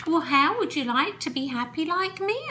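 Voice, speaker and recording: Doing a put-on character voice at an extremely high pitch, a woman sounds cheerful, with lively intonation at a moderate pace, over clear background noise. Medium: read story. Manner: cheerful, friendly.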